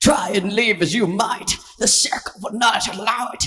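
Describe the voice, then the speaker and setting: A man does a squeaky, high-pitched put-on character voice. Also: moderate pace. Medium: read story. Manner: gloating, wordy.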